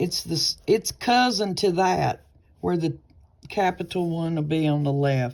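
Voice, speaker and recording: Her voice carries a Southern US accent. The woman's tone is dark and mellow, with ordinary pitch variation. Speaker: nursing tutor. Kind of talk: tutorial. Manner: casual, chatty; halting, stumbling.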